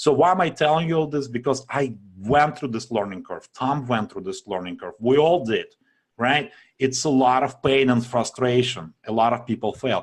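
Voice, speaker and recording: In a quiet background, a man with a strong non-native accent speaks at a moderate pace, his medium pitch showing ordinary variation. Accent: strong foreign. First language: not English. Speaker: online marketing webinar presenter. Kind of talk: sales pitch. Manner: casual, filler-heavy.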